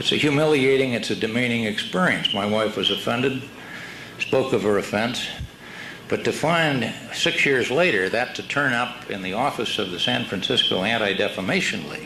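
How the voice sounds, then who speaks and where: A man with an American accent talks at a moderate pace with lively intonation and a medium pitch. Noticeable background noise runs under his voice. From California. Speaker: former congressman. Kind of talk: conference speech.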